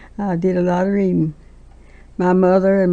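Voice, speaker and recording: At medium pitch and a moderate pace, a woman talks with a Southern US accent. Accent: Southern American. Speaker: quilt maker. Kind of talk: oral history interview answer.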